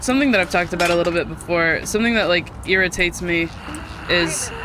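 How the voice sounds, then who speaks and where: Over noticeable background noise, a woman talks at a very fast pace with ordinary pitch variation. Her loudness stays very even. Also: fairly low pitch for a woman. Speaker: video game streamer. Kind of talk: casual chat. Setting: live stream. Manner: occasional stutter, slurred lazy speech.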